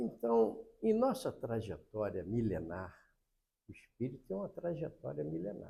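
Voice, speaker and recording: At a fairly slow pace, this voice has a dark, mellow tone, a somewhat breathy quality and very wide pitch swings. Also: man, medium pitch for a man. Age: 80s+. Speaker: spiritist lecturer. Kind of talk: religious lecture.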